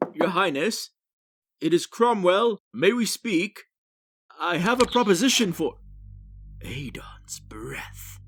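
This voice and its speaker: Over music in the background, a man puts on a character voice, high-pitched and lively in intonation, going fairly slowly with long, frequent pauses and big swings in loudness. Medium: audio drama. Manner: formal, commanding.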